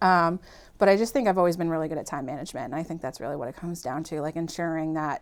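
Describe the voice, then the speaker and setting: A woman talks at a fairly low pitch, varying it in an ordinary way. The recording is very clean and the background silent. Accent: slight Boston. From Massachusetts, Malden (Boston area). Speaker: podcast guest, working mother. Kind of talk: casual chat.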